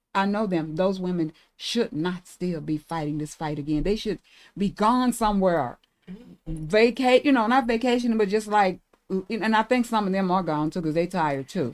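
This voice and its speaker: Here is a woman with a medium-pitched voice. Her intonation is lively. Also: moderate pace. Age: 60s. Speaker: reproductive justice activist. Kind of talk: casual chat.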